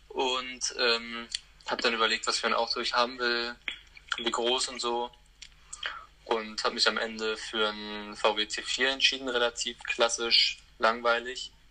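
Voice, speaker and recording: Against noticeable background noise, a man talks at a fairly slow pace with monotone, flat intonation and long, frequent pauses. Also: medium pitch for a man. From Germany, Hamburg. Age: 20s. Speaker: van traveller. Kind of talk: casual interview chat. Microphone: transmission problems.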